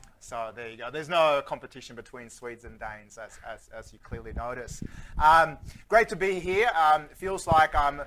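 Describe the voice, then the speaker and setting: The loudness swings widely. The tone is bright and sharp. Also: man. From Sweden. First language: Swedish. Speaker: futurist keynote speaker. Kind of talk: keynote talk. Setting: stage with audience. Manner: animated.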